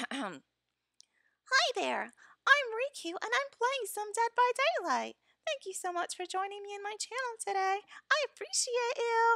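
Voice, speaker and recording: In a put-on character voice, the speaker squeaks at an extremely high pitch and a fairly slow pace. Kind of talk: casual stream chat. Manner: cute, bubbly. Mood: warm, friendly.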